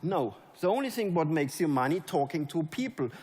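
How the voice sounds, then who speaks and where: An animated man at a high pitch and moderate pace, with a German accent. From Germany. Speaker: network marketing leader. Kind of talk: motivational speech. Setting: stage with audience.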